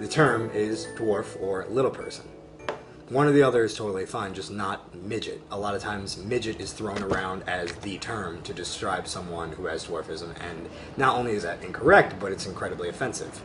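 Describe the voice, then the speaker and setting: Noticeable background noise sits behind a man with an American accent. He speaks fairly quickly in a fairly low voice with ordinary pitch variation. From US, small town. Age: 20s. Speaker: vlogger with dwarfism. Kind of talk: personal video monologue.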